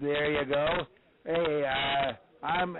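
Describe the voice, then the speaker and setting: Over noticeable background noise, a man with a fairly high pitch talks very slowly, his intonation fairly even. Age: 80s+. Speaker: judo legend calling in. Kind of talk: casual phone chat. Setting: phone call.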